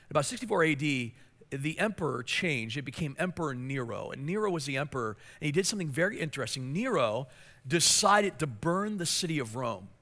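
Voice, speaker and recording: A man's bright, sharp voice at a fairly high pitch, with very wide pitch swings and a fairly quick pace, on a very clean recording with a silent background. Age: 40s. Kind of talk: sermon. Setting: church. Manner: fast talker.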